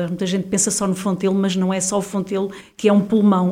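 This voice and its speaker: A woman talks at a fairly quick pace. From Portugal, Viseu. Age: 50s. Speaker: local election candidate. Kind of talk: interview. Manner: halting.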